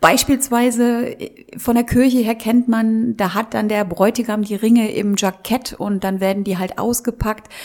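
A woman talks very slowly at a fairly high pitch with ordinary pitch variation. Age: 50s. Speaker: wedding celebrant. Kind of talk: interview.

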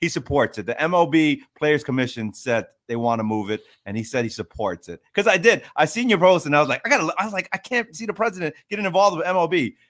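A man with a New York accent, fairly high in pitch with very wide pitch swings, at a very fast pace. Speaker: podcast co-host, baseball coach. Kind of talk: casual sports chat.

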